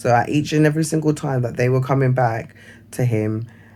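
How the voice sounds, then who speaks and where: The man's voice sits at a mid-range pitch. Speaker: vlogger. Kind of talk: casual monologue. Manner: halting.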